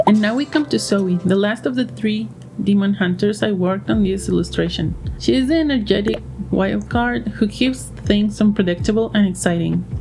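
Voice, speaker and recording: A woman's loudness stays very even as she talks at a moderate pace through noticeable background noise. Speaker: digital artist. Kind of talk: tutorial voiceover over a timelapse.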